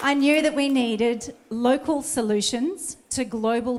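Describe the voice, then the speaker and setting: Lively intonation marks this woman's speech. She has an Australian accent. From Australia, Sydney Northern Beaches. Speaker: election candidate. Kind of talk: campaign speech.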